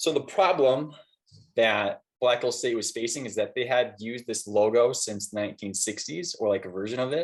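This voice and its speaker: A man speaks with a normal speaking voice and an American accent. His pitch is medium, with ordinary pitch variation. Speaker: graphic designer giving a guest talk. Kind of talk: lecture. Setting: classroom with students. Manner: casual with fillers.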